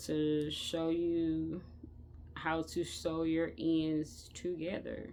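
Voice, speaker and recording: In a room with audible echo, a woman speaks at a fairly low pitch. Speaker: crochet tutorial creator. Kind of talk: tutorial. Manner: hesitant, many fillers.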